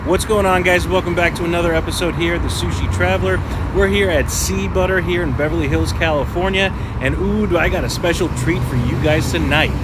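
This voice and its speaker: Someone speaks at a fairly quick pace against loud background noise. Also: man. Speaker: food vlogger. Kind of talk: casual vlog chat. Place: street. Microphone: phone near.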